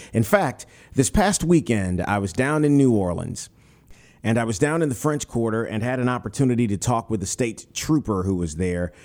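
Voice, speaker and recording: Against a silent background in a very clean recording, a man speaks with lively intonation. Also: medium pitch for a man, moderate pace. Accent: Southern US. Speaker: podcast host. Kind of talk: casual interview.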